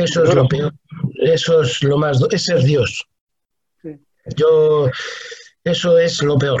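Speaking at a very slow pace, a man uses a fairly high pitch with fairly even intonation. Long, frequent pauses break up his speech. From Spain, Talavera de la Reina (Toledo). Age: 60s. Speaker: humanitarian worker and writer. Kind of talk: interview.

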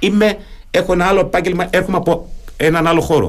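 This is a man with a high pitch. He talks at a fairly quick pace. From Germany. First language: German (speaking Greek). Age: 50s. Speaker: retired naval officer, local election candidate. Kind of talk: radio interview.

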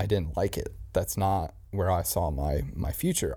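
Over a very clean recording with a silent background, a man's fairly low voice carries vocal fry and a dark, mellow tone. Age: 20s. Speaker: podcast host. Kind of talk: casual chat. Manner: animated.

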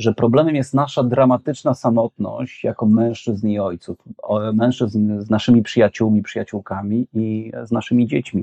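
Dry and close with no echo, a man's dark, mellow voice holds a medium pitch, fairly even intonation and a moderate pace. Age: 40s. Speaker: social psychology professor. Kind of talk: conversational interview.

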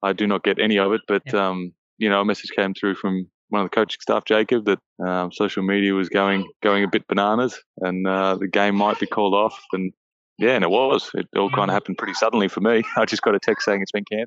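A man with an Australian accent talks at a very fast pace in a fairly low pitch, his intonation monotone and flat. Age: 30s. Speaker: professional basketball player. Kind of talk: interview.

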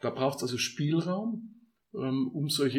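Somewhat breathy, a man's fairly high voice moves with lively intonation. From Upper Bavaria, village near Munich. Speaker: construction entrepreneur and community co-founder. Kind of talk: casual interview.

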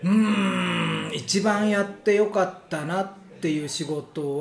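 Against noticeable background noise and audible room echo, a man speaks with lively intonation. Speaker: Japanese teacher, school principal. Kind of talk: casual chat.

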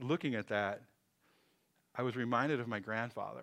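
Very cleanly recorded against a silent background, this man talks at a fairly quick pace in a normal speaking voice with a medium pitch. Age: 50s. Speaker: pastor. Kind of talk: sermon. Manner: casual, conversational with fillers.

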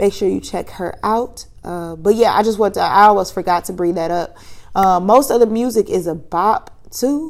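A woman's plain, everyday voice at medium pitch, moderate pace and ordinary pitch variation. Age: 30s. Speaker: podcast host. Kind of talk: casual solo monologue. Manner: conversational with frequent fillers.

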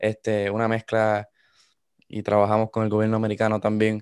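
A man talks fairly quickly at a fairly low pitch. The sound is dry and close with no echo, and the recording is very clean with a silent background. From Puerto Rico, coastal town. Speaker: student. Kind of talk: casual chat.

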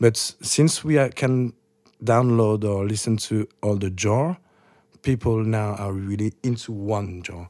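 A man with a French accent speaks at a fairly slow pace, his pitch fairly low and his tone dark and mellow. His pitch varies in an ordinary way, and the recording is very clean with a silent background. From France. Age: 30s. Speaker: DJ. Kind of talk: casual chat.

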